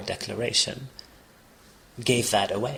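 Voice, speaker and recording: A somewhat breathy man's voice at medium pitch, moderate pace and flat, monotone intonation. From Palestinian, raised partly in Kuwait. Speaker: refugee and former cafe owner. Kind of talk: interview. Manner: halting, with frequent false starts.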